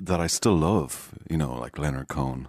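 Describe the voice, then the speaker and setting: A man speaks with an Irish accent. His intonation stays fairly even. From Ireland, Galway. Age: 50s. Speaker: singer-songwriter. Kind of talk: casual chat. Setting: studio.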